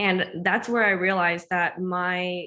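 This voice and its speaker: A woman speaks with an American accent at a fairly low pitch. Her tone is bright and sharp. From US, Indian American family. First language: Gujarati. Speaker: counselor. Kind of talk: panel discussion.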